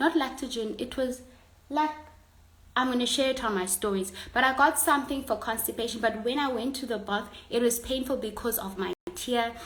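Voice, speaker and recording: Amid noticeable background noise, a woman talks at a fairly quick pace in a high pitch with ordinary pitch variation. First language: a South African Bantu language. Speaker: online content creator. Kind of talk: casual livestream chat. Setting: Instagram live stream. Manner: halting.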